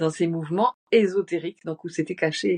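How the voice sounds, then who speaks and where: A woman's fairly low voice with ordinary pitch variation, a moderate pace, and a dry, close sound with no echo. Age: 60s. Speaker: shamanic journey teacher. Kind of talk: casual interview. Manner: halting.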